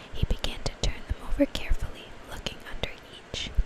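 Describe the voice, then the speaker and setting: A woman whispering over noticeable background noise. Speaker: mom who makes ASMR videos. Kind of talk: whispered ASMR story reading. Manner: whispered.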